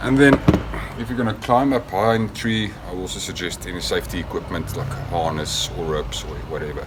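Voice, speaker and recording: A man with a South African accent talks at a moderate pace amid noticeable background noise and audible room echo. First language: Afrikaans. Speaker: product maker demonstrating gear. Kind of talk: tutorial. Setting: outdoors in backyard garden. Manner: hesitant with fillers.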